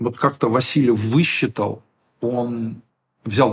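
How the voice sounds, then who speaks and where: A somewhat breathy man at a medium pitch, speaking very slowly. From Ukraine, Kyiv. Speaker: theatre director and drama teacher. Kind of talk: interview. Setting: studio.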